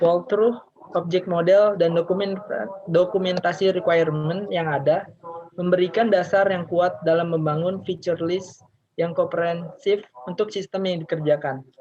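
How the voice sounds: A man's high-pitched, slightly mellow voice with fairly even intonation and few pauses. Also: moderate pace.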